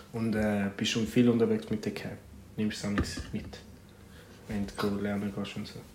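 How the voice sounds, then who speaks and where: A man speaks in a fairly low, monotone voice with flat intonation, leaving long, frequent pauses. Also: moderate pace. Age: 20s. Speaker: podcast co-host, student. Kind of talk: casual chat. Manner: laughing often.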